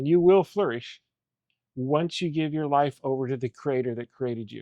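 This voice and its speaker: With a plain, everyday voice, a man talks at a moderate pace in a dry, close sound with no echo against a quiet background. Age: 60s. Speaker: coach and mentor. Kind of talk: faith-based interview conversation.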